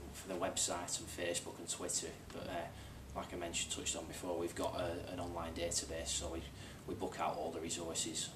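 Over noticeable background noise, a man with a very deep, low pitch talks at a very fast pace in a monotone, flat intonation. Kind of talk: interview answer. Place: office.

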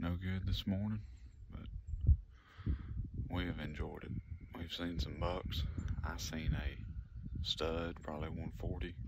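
Loud background noise accompanies a man talking at a very slow pace with long, frequent pauses. His pitch varies in an ordinary way, and the sound is dry with no echo. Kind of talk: casual vlog chat. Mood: relaxed, content. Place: forest. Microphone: phone near.

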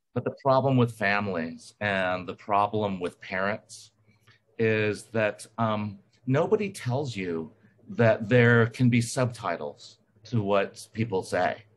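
A man speaks at a very slow pace. His pitch is fairly low with ordinary variation. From US South, Alabama. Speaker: recovering alcoholic speaker. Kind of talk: testimony.

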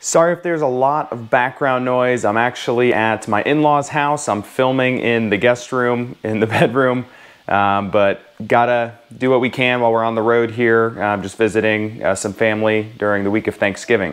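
Behind this man the background is quiet. He talks at a moderate pace with ordinary pitch variation. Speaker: personal finance vlogger. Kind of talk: casual vlog chat. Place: home room. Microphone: lapel.

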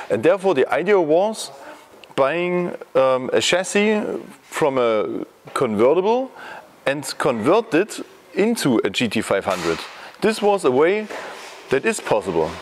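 Long, frequent pauses break up speech at a fairly slow pace, with very even loudness and light background noise. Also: man. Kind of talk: interview answer. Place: workshop.

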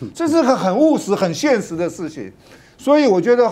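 A man speaks in a dark, mellow tone. His pitch swings very widely. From Taiwan. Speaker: politician. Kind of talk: talk show panel discussion. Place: studio.

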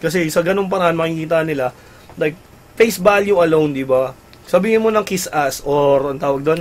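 The pace is fairly quick as a man speaks. Pitch variation is ordinary. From Philippines. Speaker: gaming website host. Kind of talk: casual live-stream chat. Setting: live stream studio. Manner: animated. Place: home room.

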